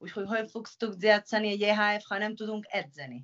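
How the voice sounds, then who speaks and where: A woman with a Spanish accent. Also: quiet background. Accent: Spanish-accented Hungarian. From Spain, Pamplona (Navarre). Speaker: professional handball player. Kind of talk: interview. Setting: video call. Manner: halting. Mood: earnest, somewhat concerned. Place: home room. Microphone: video call.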